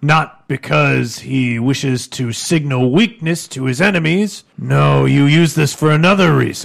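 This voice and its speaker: In a put-on character voice, a man speaks at a moderate pace with a fairly high pitch. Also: ordinary pitch variation. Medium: actual play. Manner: blunt, probing, self-assured.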